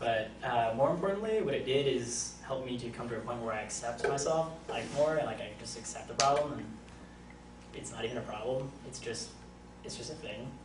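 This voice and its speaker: A man speaks at a fairly quick pace, with noticeable background noise and audible room echo. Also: big swings in loudness. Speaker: college student. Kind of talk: class speech. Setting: classroom with audience. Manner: halting.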